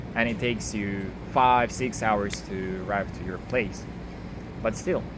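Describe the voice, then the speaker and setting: Noticeable background noise and audible room echo are present. The speaking pace is fairly slow. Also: man, fairly low pitch for a man, ordinary pitch variation. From Russia. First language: Russian. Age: 20s. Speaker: video diarist. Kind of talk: casual monologue. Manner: halting.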